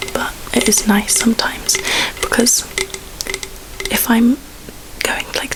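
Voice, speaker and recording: A woman whispering in a relaxed tone amid noticeable background noise. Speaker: ASMR creator. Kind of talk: ASMR ramble to camera. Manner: soft-spoken, whispered, relaxed.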